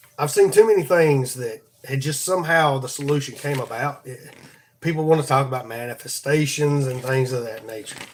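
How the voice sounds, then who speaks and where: A man with a Southern US accent at a fairly quick pace, fairly high in pitch, with ordinary pitch variation and big swings in loudness. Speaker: podcast host. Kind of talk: devotional talk. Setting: live stream. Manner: halting, repeats words.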